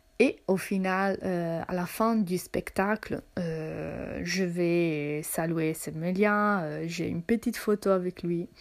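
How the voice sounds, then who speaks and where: Fairly low in pitch, a woman speaks at a very slow pace with fairly even intonation and hardly any pauses. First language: not French (speaking French). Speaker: podcaster. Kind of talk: personal storytelling monologue. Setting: at home in her apartment. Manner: hesitant, many fillers and repetitions.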